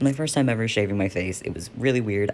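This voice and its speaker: His pitch moves in an ordinary way. The voice belongs to a man. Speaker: vlogger. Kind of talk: casual vlog update. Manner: casual, filler-heavy.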